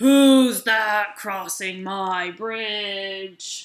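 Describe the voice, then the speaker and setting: This is a put-on character voice that sounds female. Its pitch sits in the medium range for a woman. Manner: scowling, menacing.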